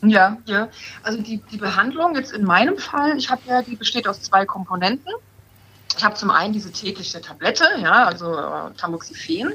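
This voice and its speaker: This woman's voice is fairly high-pitched, and her intonation is lively. She keeps a moderate pace over noticeable background noise. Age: 30s. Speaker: breast cancer patient. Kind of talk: casual chat.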